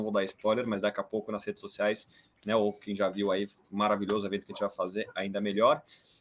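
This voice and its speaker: With a fairly low pitch, a man speaks at a fairly quick pace. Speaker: podcast host. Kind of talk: podcast interview. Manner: animated.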